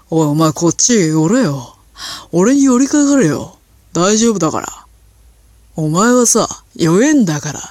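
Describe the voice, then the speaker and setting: A resonant, put-on character voice at a middle pitch, with very wide pitch swings and a fairly slow pace. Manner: forceful, swaggering.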